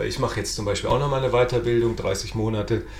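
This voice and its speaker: Noticeable background noise and audible room echo accompany the speech of a man. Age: 30s. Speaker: podcast host and local politician. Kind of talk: casual political interview podcast.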